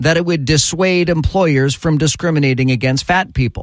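A man's unremarkable speaking voice, fairly high in pitch, with ordinary pitch variation and a moderate pace, in a very clean recording with a silent background. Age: 50s. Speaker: talk radio host. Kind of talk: talk radio commentary.

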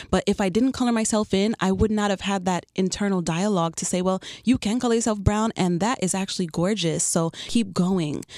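Recorded dry and close with no echo against a silent background on a very clean recording, a woman with a New York accent talks at a fairly quick pace with fairly even intonation and hardly any pauses. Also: medium pitch for a woman. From New York (Queens). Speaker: photographer and artist. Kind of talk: radio interview. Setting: radio studio.

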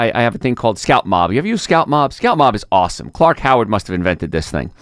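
A man talks at a very fast pace. The sound is dry and close with no echo, in a very clean recording with a silent background. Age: 50s. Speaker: radio host and chiropractor. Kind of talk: radio talk show monologue.

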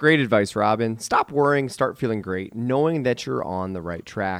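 In an ordinary speaking voice, a man talks at medium pitch and a moderate pace with ordinary pitch variation, in a dry, close sound with no echo. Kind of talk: radio show patter, teasing the break and station ID in a sign-off. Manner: brisk, upbeat, salesy radio-announcer cadence.

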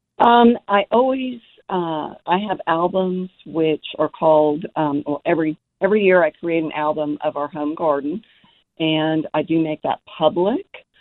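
Her pitch fairly low, a woman talks at a fairly slow pace with ordinary pitch variation. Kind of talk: friendly casual chat about gardening. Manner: relaxed, conversational, a little hesitant with filler 'um'.

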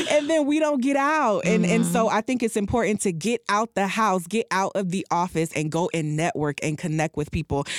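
Over background music, a woman talks at a fairly quick pace with very wide pitch swings, very even loudness and hardly any pauses. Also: medium pitch for a woman, dry, close sound with no echo. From Jamaica, raised in Miami Gardens. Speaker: business organization president. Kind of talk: radio interview.

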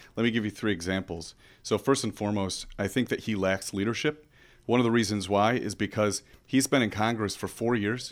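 At a fairly quick pace, a man with an ordinary speaking voice and a fairly low pitch keeps a fairly even intonation on a very clean recording with a silent background. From Michigan countryside. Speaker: congressional candidate, military veteran. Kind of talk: radio interview.

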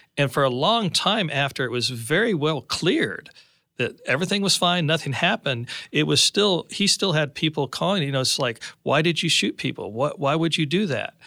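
In a plain, everyday voice, a man speaks at a fairly high pitch and a moderate pace, with lively intonation and very even loudness, on a very clean recording with a silent background. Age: 50s. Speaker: parent of accused student. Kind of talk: interview.

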